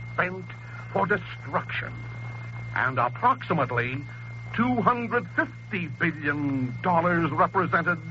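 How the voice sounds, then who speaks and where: A man with an American accent speaks at a very slow pace. Background noise is noticeable. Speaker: priest, political radio commentator. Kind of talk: political radio address. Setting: 1930s radio broadcast. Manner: impassioned, oratorical.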